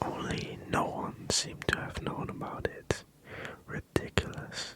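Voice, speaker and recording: Whispering at a very slow pace, a man talks over noticeable background noise. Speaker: ASMR creator. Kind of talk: ASMR book reading. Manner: whispered.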